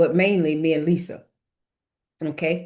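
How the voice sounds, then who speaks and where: A woman's fairly low voice, a normal speaking voice at a moderate pace. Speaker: real estate coach. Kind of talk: webinar tutorial.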